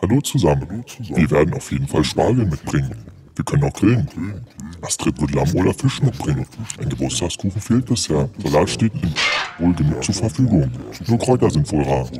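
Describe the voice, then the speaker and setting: A man puts on a character voice with a very deep, low pitch at a moderate pace. Long pauses come often. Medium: audio drama. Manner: matter-of-fact, instructive.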